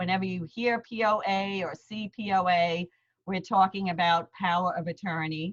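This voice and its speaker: In a New York accent, a woman speaks at a fairly slow pace. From Queens, New York. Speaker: lawyer. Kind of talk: seminar presentation. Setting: video call. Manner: hesitant fillers.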